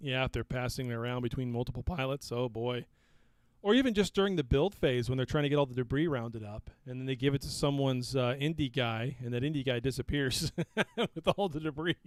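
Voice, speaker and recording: A man speaks very fast. His voice comes through dry and close, free of echo. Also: medium pitch for a man, ordinary pitch variation. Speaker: podcast host. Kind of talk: casual chat. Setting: live stream on voice chat server.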